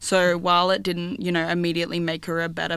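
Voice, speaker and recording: In an ordinary speaking voice, a woman talks fairly quickly at a fairly low pitch with fairly even intonation, on a very clean recording with a silent background. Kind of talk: panel discussion about mental health.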